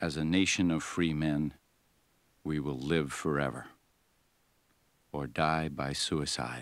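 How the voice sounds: At a slow pace, a man speaks with an extremely low pitch and fairly even intonation.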